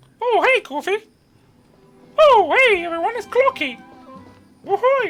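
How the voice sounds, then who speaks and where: A squeaky, put-on character voice sits at an extremely high pitch and moves at a moderate pace. Faint music plays in the background. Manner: cheery, excited.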